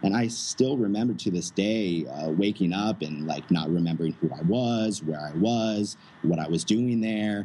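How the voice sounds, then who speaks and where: A plain, everyday voice, a man with an American accent, fairly low in pitch, fairly slow in pace, with lively intonation. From United States. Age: 20s. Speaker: digital nomad entrepreneur. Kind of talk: interview.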